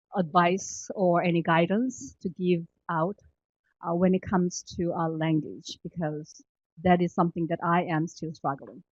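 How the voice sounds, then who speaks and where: Against a quiet background, with dry, close sound and no echo, a woman with a Korean accent speaks fairly slowly at a fairly low pitch and with fairly even intonation. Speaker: government employee. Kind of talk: panel discussion. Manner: halting, many fillers.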